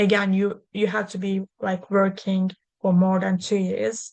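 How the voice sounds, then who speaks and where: A woman with a Turkish accent, medium in pitch, at a fairly slow pace. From Turkey. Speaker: lawyer. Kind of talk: webinar presentation. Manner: halting.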